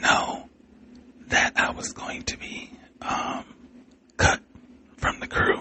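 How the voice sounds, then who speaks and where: The pace is very slow, delivered in a whisper. Background noise is noticeable throughout. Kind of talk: podcast monologue. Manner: whispered.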